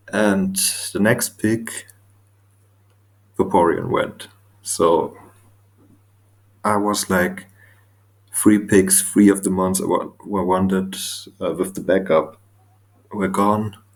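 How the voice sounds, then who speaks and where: A man with a non-native accent speaks very slowly in a fairly low, flat monotone. Long, frequent pauses break up his speech. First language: not English. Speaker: Pokemon draft league coach. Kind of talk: casual commentary video.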